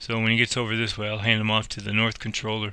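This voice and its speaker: Mumbling at a fairly quick pace, a man speaks in a bright, sharp tone with monotone, flat intonation. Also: very clean recording, silent background. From Chicago area, US Midwest. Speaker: gamer playing air traffic control simulator. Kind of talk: gameplay commentary with simulated radio calls. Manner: mumbled diction.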